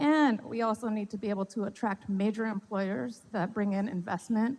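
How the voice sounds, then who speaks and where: A woman at a medium pitch, talking at a fairly quick pace. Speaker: city economic development official. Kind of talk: public presentation. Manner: fast. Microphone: mic cutting out.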